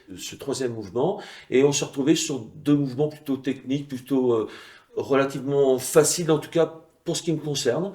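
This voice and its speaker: The speaker is a man. His pitch is fairly high. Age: 60s. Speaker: former weightlifting champion. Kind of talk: interview testimony. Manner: hesitant with frequent fillers.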